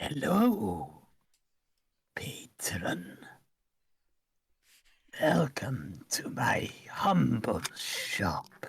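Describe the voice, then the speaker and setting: A whispered, put-on character voice moves at a very slow pace. Long, frequent pauses break up the speech. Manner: creepy.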